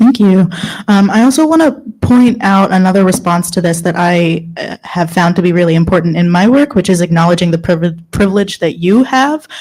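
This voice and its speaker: Against noticeable background noise, a woman with an American accent and medium pitch speaks at a fairly quick pace with lively intonation. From United States. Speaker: workshop moderator. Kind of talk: panel moderation.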